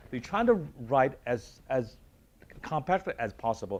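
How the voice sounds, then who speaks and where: He speaks with a Chinese accent. The man's pace is fairly quick. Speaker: university dean. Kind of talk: panel discussion.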